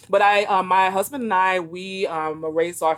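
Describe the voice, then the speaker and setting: This woman has an ordinary speaking voice with an American accent. Her medium pitch carries at a moderate pace. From New York City, Brooklyn. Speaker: author and education consultant. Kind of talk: interview.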